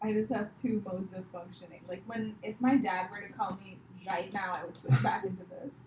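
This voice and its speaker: This woman talks at a fairly quick pace with an American accent. Her loudness swings widely. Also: medium pitch for a woman, ordinary pitch variation. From India, Mumbai. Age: 20s. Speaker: comedian. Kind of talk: casual chat.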